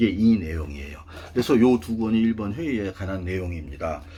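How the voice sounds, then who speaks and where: This man's very deep, low voice comes across somewhat breathy. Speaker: political commentator. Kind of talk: monologue talk show. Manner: casual; halting.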